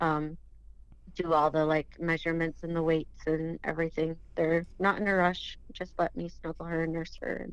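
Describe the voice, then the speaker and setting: Speaking at a moderate pace, a woman with a fairly low pitch uses a monotone, flat intonation. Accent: American. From southern Minnesota. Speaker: bereaved mother. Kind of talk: testimony.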